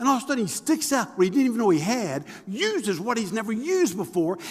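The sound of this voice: The voice carries vocal fry and big swings in pitch. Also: man.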